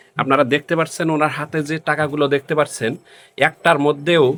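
In a very clean recording with a silent background, a man talks in a monotone, flat intonation at a fairly high pitch. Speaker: local video reporter. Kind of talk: field report with interviews.

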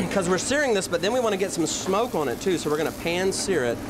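Over noticeable background noise, a man talks at a fairly quick pace. His intonation is lively. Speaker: chef cooking show host. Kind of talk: tutorial. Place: kitchen.

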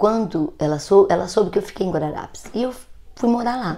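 Ordinary pitch variation marks this woman's speech, which has a dark, mellow tone. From interior of São Paulo state, Brazil. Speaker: grandmother vlogger, ASMR channel host. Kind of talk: elder telling her life story, emotional personal testimony to the 'grandchildren' viewers. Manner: slow, gentle, reflective, tender and at times wistful, with a grandmotherly warmth. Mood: reflective, warm. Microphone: earbuds.

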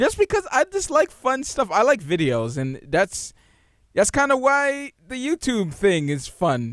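Against a quiet background, a man's voice moves through very wide pitch swings, the sound dry with no echo. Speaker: gaming podcast co-host. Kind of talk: casual chat. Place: home room. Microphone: studio mic.

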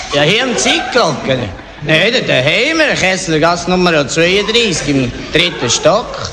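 A man's high voice with lively intonation and very even loudness, at a very slow pace amid noticeable background noise. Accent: strong Bernese. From Emmental, canton of Bern. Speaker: comedy sketch performer.

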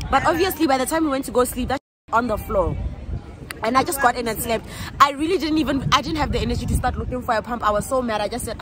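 Very fast speech with ordinary pitch variation comes through a dry sound with no echo and noticeable background noise. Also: woman, high pitch for a woman. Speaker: vlogger. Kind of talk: casual vlog chat. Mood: amused storytelling. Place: open country. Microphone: phone near.

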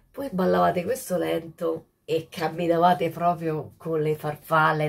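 Very slowly, a woman speaks in a very deep, low voice that is somewhat breathy. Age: 60s. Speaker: social media host. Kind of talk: casual monologue to viewers. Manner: animated. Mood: nostalgic, cheerful. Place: home room. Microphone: phone near.

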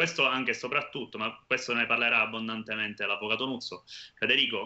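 A man speaks with a Sicilian accent. The background is quiet. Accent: Sicilian Italian. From Monreale, Sicily. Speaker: youth association president. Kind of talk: interview, informative explanation. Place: home room. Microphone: video call.

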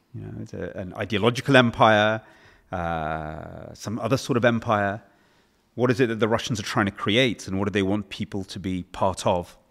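Speaking at a moderate pace with big swings in loudness, a man with an English accent has a fairly low pitch. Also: ordinary pitch variation, very clean recording, silent background. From England. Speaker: author and policy researcher. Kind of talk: interview.

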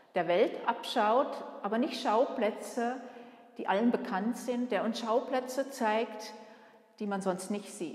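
A woman's very slow speech with long, frequent pauses, fairly high in pitch with fairly even intonation, and audible room echo. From Switzerland. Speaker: museum curator and director. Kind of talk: guided museum tour. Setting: museum exhibition room. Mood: warm, friendly. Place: hall. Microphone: camera far.

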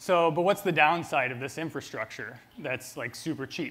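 Ordinary pitch variation and a moderate pace shape the man's delivery. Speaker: presenter. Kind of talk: conference talk. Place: stage. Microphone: lapel.

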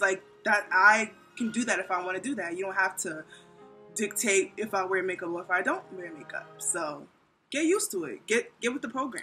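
A woman's voice at a moderate pace, big swings in loudness, faint music in the background. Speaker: vlog host. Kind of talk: casual vlog chat. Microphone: phone near.

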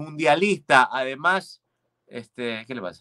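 Bright, sharp, animated tone over a quiet background. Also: man. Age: 40s. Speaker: comedian and show host; comedian, show host. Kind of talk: casual chat. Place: studio.

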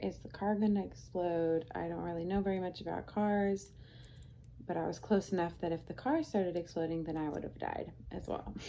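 A woman speaks at a fairly low pitch with ordinary variation. Light background noise is present. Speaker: vlogger. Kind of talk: casual vlog chat. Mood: relaxed retelling of stressful event. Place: home room.

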